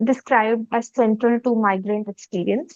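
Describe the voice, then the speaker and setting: A woman speaks in a dry, close sound with no echo. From Kerala, India. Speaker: student interviewer. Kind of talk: interview. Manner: hesitant with many fillers.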